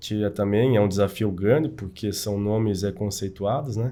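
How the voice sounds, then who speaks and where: A man's fairly low voice has a dark, mellow tone and fairly even intonation. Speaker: engineering association representative. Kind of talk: casual chat. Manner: halting.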